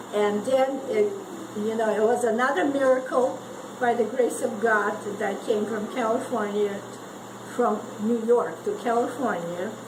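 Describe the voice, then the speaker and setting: A fairly high-pitched woman at a moderate pace, with fairly even intonation, long, frequent pauses, audible room echo and noticeable background noise. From Eastern Europe (Ukraine). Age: 80s+. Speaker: World War Two survivor. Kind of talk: personal testimony to family gathering. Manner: halting, many repetitions.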